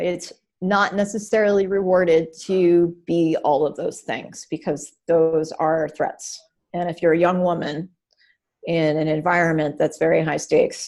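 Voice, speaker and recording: A woman with an American accent and a plain, everyday voice speaks at a fairly slow pace, her pitch fairly low and her intonation fairly even. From Maine, US. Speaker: director of user experience design. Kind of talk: interview.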